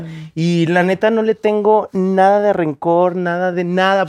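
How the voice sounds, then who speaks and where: Music plays in the background as a man speaks at a high pitch. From Mexico, Guadalajara. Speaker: content creator and photographer. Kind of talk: casual chat.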